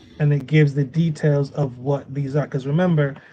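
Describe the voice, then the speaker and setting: At a moderate pace, a man with a fairly high pitch and a dark, mellow tone sounds somewhat breathy, keeping his intonation fairly even. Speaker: business trainer. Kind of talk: training session.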